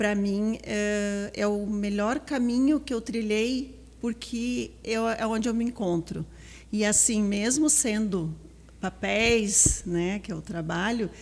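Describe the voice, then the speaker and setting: This woman talks at a very slow pace, her fairly high voice showing ordinary pitch variation. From southern Brazil, Palmeira das Missões, Rio Grande do Sul. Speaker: school vice-principal, educator. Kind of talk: podcast interview.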